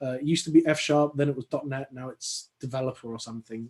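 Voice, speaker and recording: Talking at a very fast pace, a man with an English accent keeps his intonation fairly even. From London, England. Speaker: software consultant and conference speaker. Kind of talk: technical talk. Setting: online video call. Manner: hesitant, many fillers and repetitions.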